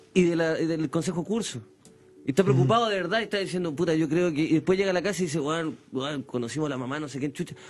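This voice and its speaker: Speaking very fast with a Chilean accent, a man has a high pitch and ordinary pitch variation. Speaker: radio host. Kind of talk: casual chat. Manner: animated.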